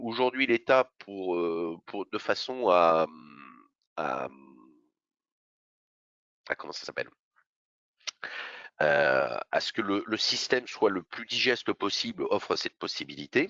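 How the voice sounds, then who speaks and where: A man puts on a raspy character voice at a medium pitch. He goes at a fairly slow pace, with long, frequent pauses. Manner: stumbling over words, hesitant.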